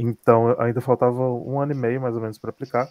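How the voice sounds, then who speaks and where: Very fast speech from a man, dry and close with no echo. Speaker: graduate student abroad. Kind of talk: interview testimony. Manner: halting.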